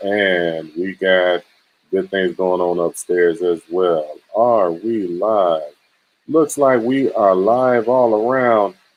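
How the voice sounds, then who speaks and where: A man's fairly low-pitched voice with a Southern accent. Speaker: cryptocurrency livestream host.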